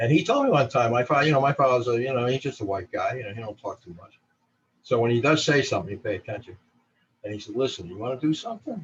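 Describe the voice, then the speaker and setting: A man with a New Jersey accent talks at a very fast pace and medium pitch, with ordinary pitch variation. His voice is somewhat breathy, with big swings in loudness. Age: 60s. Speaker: photographer. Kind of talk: interview.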